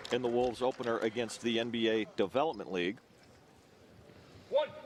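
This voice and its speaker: A man's voice against noticeable background noise. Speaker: basketball play-by-play announcer. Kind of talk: sports play-by-play broadcast.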